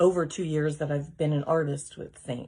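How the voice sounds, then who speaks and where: A woman is whispering. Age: 50s. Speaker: makeup seller. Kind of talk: tutorial.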